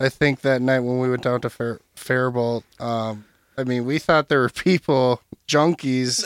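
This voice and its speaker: A man's medium-pitched voice at a fairly slow pace, with a dry, close sound and no echo. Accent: Upper Midwest. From Minnesota, Burnsville. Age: 20s. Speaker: podcast co-host. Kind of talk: casual chat. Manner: halting.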